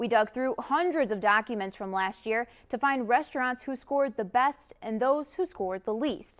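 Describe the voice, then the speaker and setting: A woman's high-pitched voice with lively intonation, at a moderate pace. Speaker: television reporter and news anchor.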